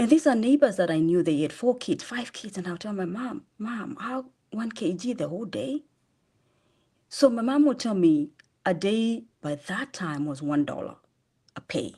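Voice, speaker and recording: In a Kenyan accent, a woman with a dark, mellow, somewhat breathy tone and fairly high pitch speaks at a moderate pace, her pitch swinging very widely and her loudness varying a lot. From Kenya, Machakos (eastern Kenya). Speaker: charity founder. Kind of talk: interview testimony. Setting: podcast interview.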